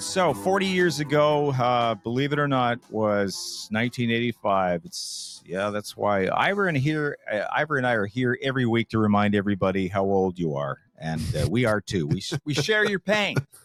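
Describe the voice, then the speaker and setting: Recorded dry and close with no echo but noticeable background noise, a man talks at a moderate pace with hardly any pauses, his medium pitch swinging very widely. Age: 60s. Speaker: podcast host. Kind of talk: casual chat.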